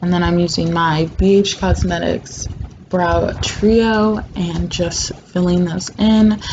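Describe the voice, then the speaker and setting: Noticeable background noise sits under a woman speaking at a very slow pace. Her pitch is fairly low and her intonation fairly even. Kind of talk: makeup tutorial voiceover. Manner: casual, chatty.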